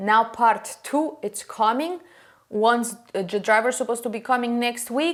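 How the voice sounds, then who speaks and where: A woman speaks with a non-native accent. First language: not English. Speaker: furniture painting podcaster. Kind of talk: casual tutorial monologue. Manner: halting, many fillers.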